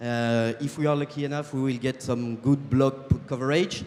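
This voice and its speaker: Here a man talks with a French accent. His pitch sits fairly high. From France. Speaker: startup co-founder. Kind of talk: sales pitch. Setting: stage with audience. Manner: halting, many fillers.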